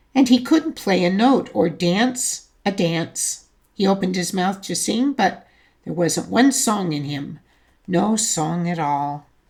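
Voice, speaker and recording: A woman's put-on, raspy character voice at medium pitch, with very wide pitch swings and a fairly slow pace. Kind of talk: bedtime story. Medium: read story. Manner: warm, gently expressive.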